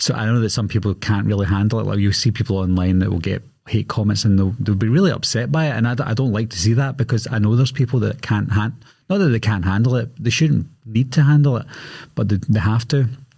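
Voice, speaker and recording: In a Glaswegian accent, a man talks at a very fast pace and medium pitch, with ordinary pitch variation. His tone is dark, mellow and somewhat breathy, on a very clean recording with a silent background. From Scotland, Glasgow. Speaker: horror movie YouTuber. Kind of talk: podcast interview. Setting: podcast studio.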